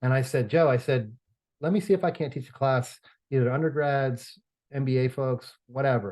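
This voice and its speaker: Somewhat breathy and with ordinary pitch variation, the voice moves at a fairly quick pace in an American accent over a quiet background. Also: man. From New York. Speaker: real estate finance professor and consultant. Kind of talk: podcast interview. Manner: hesitant, many fillers and repeats.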